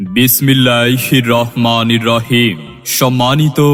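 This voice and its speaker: A man's medium-pitched voice is heard with music in the background. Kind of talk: public address advertisement read.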